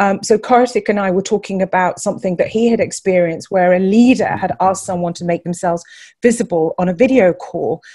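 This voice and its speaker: Against a quiet background, a woman speaks at a very fast pace and medium pitch. Her tone is dark and mellow, and somewhat breathy. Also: ordinary pitch variation. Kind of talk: webinar talk.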